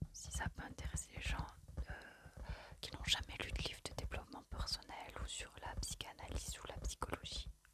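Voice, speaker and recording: Whispering at a fairly slow pace in a calm tone, a woman is heard over noticeable background noise. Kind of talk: ASMR whispered book haul, casual talk to camera. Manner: whispered, soft-spoken, calm.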